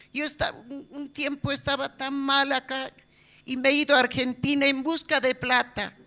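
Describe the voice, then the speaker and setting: A woman projects a raised, high voice with a bright, sharp tone, speaking at a very slow pace with fairly even intonation. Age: 70s. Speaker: church member. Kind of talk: testimony. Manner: halting.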